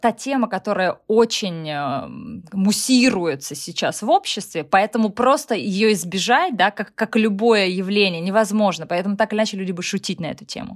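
In a very clean recording with a silent background, a woman at medium pitch speaks at a moderate pace with an animated tone and lively intonation. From Russia. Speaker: blogger and comedic actress. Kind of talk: casual interview.

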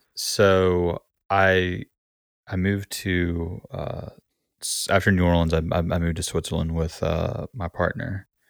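The speech comes at a fairly slow pace with fairly even intonation. The sound is dry and close with no echo, on a very clean recording with a silent background. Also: man, very deep, low pitch for a man. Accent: Southern US. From US South, Gulf Coast Alabama. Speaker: musician and music teacher. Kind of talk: casual interview. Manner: halting, many repetitions.

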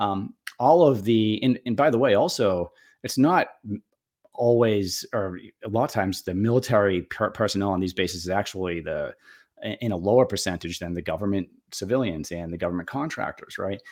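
With a Boston accent, a man speaks at a fairly quick pace and a fairly low pitch with ordinary variation, in a very clean recording with a silent background. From Boston area, Massachusetts. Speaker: retired Air Force officer, federal contracting consultant. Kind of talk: casual interview.

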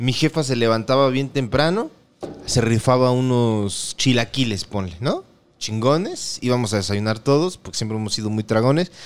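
Speaking with a Mexican accent, a man keeps a medium pitch, ordinary pitch variation and a moderate pace. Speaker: podcast co-host. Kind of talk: casual chat.

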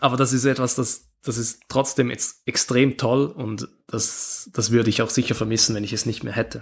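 A man's medium-pitched voice with vocal fry, fairly even intonation, a moderate pace and hardly any pauses. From Switzerland. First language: Swiss German (speaking German). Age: 20s. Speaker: handball player. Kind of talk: interview. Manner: halting.

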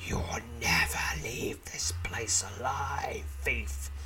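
Someone in a put-on character voice speaks at a very slow pace over loud background noise. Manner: eerie, ghastly whisper.

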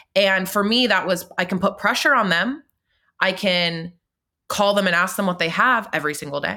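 Recorded very cleanly against a silent background, a woman speaks at a moderate pace and medium pitch. She has an ordinary speaking voice with ordinary pitch variation. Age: 20s. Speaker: podcaster and daughter of a murder victim. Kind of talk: interview.

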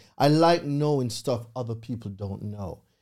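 The man's tone is dark and mellow, and he speaks with a Jamaican accent. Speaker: credit repair consultant. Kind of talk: interview. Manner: animated.

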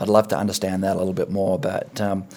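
A man with an Australian accent at a fairly low pitch and a moderate pace. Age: 50s. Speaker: podcast host. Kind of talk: casual interview chat.

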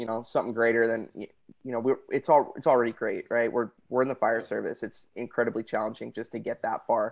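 A man talks at a fairly quick pace with an American accent and medium pitch. His intonation is fairly even, and the background is quiet. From California (Santa Barbara). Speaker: firefighter and sunglasses business owner. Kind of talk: casual interview. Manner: hesitant, many fillers.

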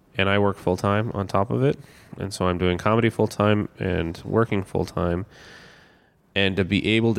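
A man with a Canadian accent has an ordinary speaking voice at a fairly low pitch. He talks at a fairly quick pace with ordinary pitch variation. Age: 30s. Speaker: comedian. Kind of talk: personal testimony interview.

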